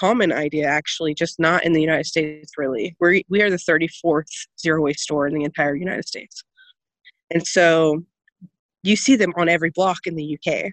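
Dry and close with no echo, a woman's plain, everyday voice moves at a fairly quick pace, fairly low in pitch with fairly even intonation. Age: 20s. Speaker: zero waste shop owner. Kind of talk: interview.

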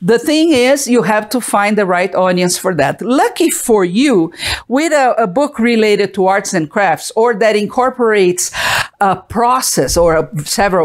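A moderate pace in a Portuguese accent. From Brazil. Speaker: art business owner and webcast host. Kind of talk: live-streamed talk to viewers. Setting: live stream from home.

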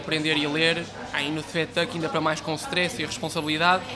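Amid noticeable background noise and audible room echo, a man talks fairly quickly at a fairly high pitch. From northern Portugal, Porto area. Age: 20s. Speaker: baker and miller. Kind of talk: interview. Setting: small café.

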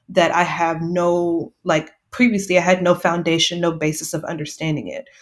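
A fairly low-pitched woman's voice at a moderate pace, monotone and flat, on a very clean recording with a silent background. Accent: Texan. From Texas, near San Antonio. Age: 30s. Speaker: journalist and mental health advocate. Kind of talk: interview, personal testimony.

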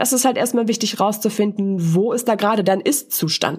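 Her voice is fairly high for a woman and somewhat breathy. The pitch variation is ordinary. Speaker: voice and presentation coach, podcast host. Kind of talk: solo podcast monologue, coaching talk. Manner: casual, conversational with filler words.

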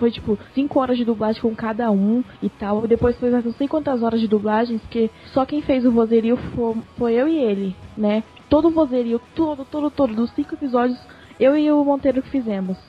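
High-pitched female speech at a moderate pace with ordinary pitch variation, music playing in the background. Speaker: voice actress. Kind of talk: casual chat.

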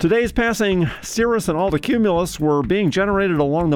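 A man talks at a fairly quick pace. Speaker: radio news host and weather presenter. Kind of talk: news reading. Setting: studio.

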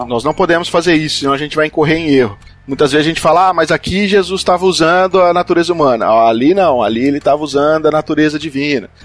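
A man speaks very fast in a fairly high voice, with hardly any pauses and ordinary pitch variation. Noticeable background noise is present. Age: 30s. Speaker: podcast host. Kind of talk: casual chat.

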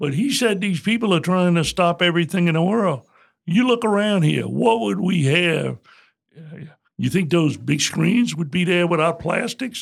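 A man with a south Louisiana accent speaks at a moderate pace in a high pitch. His tone is animated and his intonation lively. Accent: south Louisiana Southern US. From south Louisiana (Morgan City). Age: 70s. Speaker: retired bank CEO and author. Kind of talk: interview conversation. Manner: animated, folksy storyteller.

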